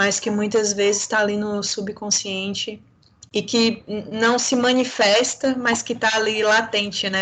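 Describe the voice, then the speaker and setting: A woman with a Bahian accent speaks in a flat monotone. Her pitch is fairly high and her pace fairly slow. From Bahia, Brazil. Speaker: lawyer, panel speaker. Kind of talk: panel discussion.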